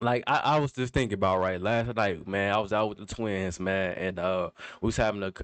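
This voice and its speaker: A man's fairly low voice, fairly quick in pace, with fairly even intonation. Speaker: reaction commentator. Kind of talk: casual commentary monologue. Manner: halting, self-interrupting.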